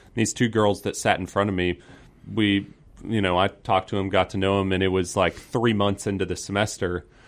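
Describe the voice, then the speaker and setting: In a Southern US accent, a man talks at a fairly quick pace with a fairly low pitch and monotone, flat intonation. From US South (Georgia, north of Atlanta). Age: 20s. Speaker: gun rights student activist. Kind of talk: radio interview.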